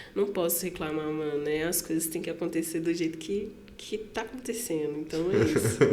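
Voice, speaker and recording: In a Minas Gerais accent, a woman speaks at a moderate pace with a fairly low pitch and ordinary pitch variation. Audible room echo and noticeable background noise fill the recording. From Santa Luzia, Minas Gerais, Brazil. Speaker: rapper and singer. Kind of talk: interview conversation. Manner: casual slangy.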